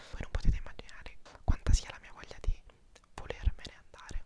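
A man is whispering. His words come out in a whisper throughout. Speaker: student vlogger. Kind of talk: casual vlog chat. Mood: somewhat anxious, chatty. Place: home room. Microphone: lapel.

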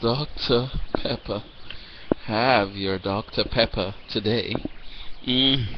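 A man of medium pitch at a very slow pace, long and frequent pauses, noticeable background noise. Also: fairly even intonation. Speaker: video blogger and amateur poet. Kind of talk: campy comic spoken-word poem with commentary, webcam monologue. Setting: webcam video at home.

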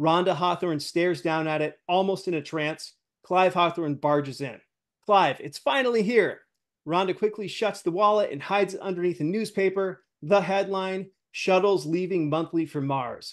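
Over a quiet background, a man speaks at a high pitch. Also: ordinary pitch variation, moderate pace. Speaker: show host. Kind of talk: reading a script aloud. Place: home room.

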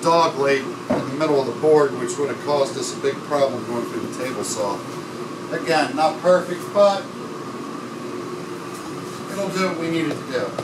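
A man at a moderate pace with ordinary pitch variation, long, frequent pauses, and noticeable background noise. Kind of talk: tutorial. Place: workshop. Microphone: camera far.

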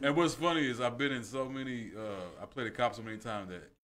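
Ordinary pitch variation marks a man's speech, delivered at a very fast pace. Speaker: actor who often plays police officers; podcast guest. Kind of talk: casual podcast chat. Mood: amused storytelling. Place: studio. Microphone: studio mic.

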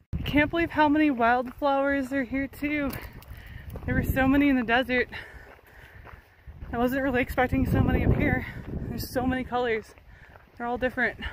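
The speech moves at a fairly quick pace with a dry sound and no echo. Loud background noise fills the recording. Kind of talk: casual vlog chat. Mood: excited, happy. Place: open country. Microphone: phone near.

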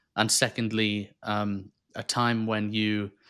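Against a quiet background, a man speaks in a bright, sharp tone at a fairly low pitch. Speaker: podcast host. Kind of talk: casual interview. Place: home room. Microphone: studio mic.

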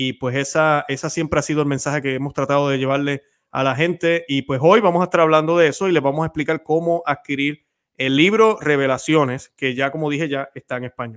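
A man speaks with a fairly high pitch. His pace is fairly quick, and the background is quiet. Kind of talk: interview intro and conversation. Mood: warm, devout. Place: home room. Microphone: studio mic.

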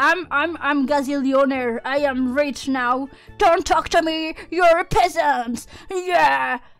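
Here is a put-on character voice. It moves at a very slow pace. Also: woman, high pitch for a woman. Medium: virtual streamer. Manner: brash, blunt, grumpy.

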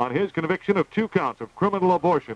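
Ordinary pitch variation in a dry sound with no echo, with music in the background. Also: man. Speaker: radio newscaster. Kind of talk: news reading. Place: studio. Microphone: old recording.

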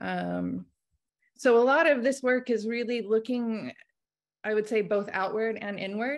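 In an American accent, a woman talks at a moderate pace with ordinary pitch variation. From Oklahoma, US. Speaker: painter and art instructor; art instructor. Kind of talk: artist presentation. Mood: reflective, personal. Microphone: video call.

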